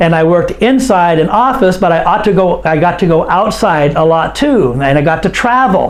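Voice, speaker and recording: A high-pitched male voice with an American accent, plus noticeable background noise and audible room echo. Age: 60s. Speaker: English teacher. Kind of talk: online lesson. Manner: slow.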